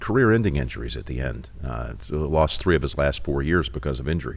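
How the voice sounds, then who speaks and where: Over noticeable background noise, a man speaks fairly quickly with lively intonation. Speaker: sportscaster. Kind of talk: interview answer. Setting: studio.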